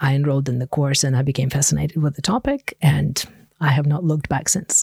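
Somewhat breathy, a woman with a Russian accent speaks in a very deep, low pitch, the sound dry and close with no echo. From Ukraine. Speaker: linguistics professor. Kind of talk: interview.

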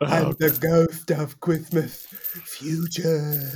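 This put-on character voice sits at a middle pitch with monotone, flat intonation. It moves at a very slow pace. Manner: comic.

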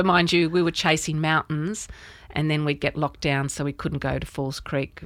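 A woman with an Australian accent, very deep and low in pitch, vocal fry throughout, fairly even intonation, on a very clean recording with a silent background. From Australia, rural New South Wales near Albury. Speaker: artist. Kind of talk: interview.

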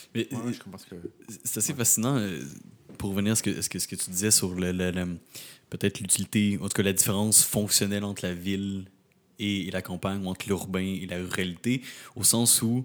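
The voice keeps a fairly even intonation, broken by long, frequent pauses. The recording is very clean, with a silent background. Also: man, fairly low pitch for a man, moderate pace. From Quebec, Rimouski. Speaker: podcast co-host. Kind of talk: casual interview.

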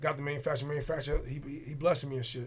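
Over audible room echo, a man speaks very fast in a fairly high pitch with monotone, flat intonation. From New Jersey, Jersey City. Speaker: clothing designer. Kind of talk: casual chat.

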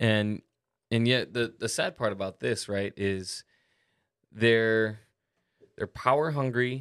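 A man talks at a very slow pace, with long, frequent pauses. His voice is medium-pitched with ordinary pitch variation, on a very clean recording with a silent background. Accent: Hawaiian. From Hawaii. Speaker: podcast co-host. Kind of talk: casual chat.

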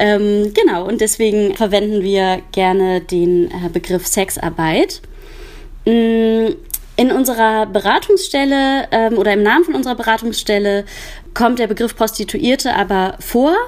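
Speaking at a fairly slow pace, a woman with a fairly high pitch swings her pitch very widely. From Germany, Cologne. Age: 30s. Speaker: counselor for sex workers. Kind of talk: interview. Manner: hesitant, many filler sounds.

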